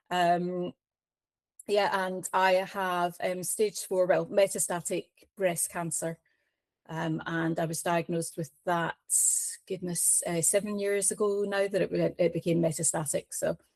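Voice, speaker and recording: A woman in a Scottish accent at a fairly slow pace, with monotone, flat intonation and a dry, close sound with no echo. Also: fairly low pitch for a woman, very clean recording, silent background. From Scotland. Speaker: cancer patient advocate. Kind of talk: interview. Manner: hesitant, many fillers.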